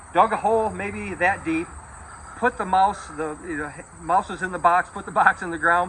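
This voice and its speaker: Someone with an American accent speaks at a moderate pace with ordinary pitch variation over noticeable background noise. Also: man. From western New York, US. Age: 70s. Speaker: funeral director. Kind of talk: casual guided tour with reminiscing. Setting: walking through his childhood house and yard. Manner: conversational, halting with fillers.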